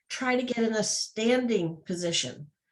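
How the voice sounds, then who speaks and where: Ordinary pitch variation from a woman speaker. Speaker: real estate trainer. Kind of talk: training class. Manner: loud.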